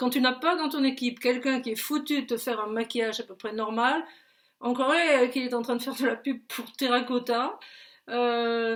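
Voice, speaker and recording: A woman with a high-pitched voice speaks at a moderate pace on a very clean recording with a silent background. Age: 70s. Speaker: political commentator. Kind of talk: casual video commentary. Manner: animated, hesitant with many fillers and repetitions.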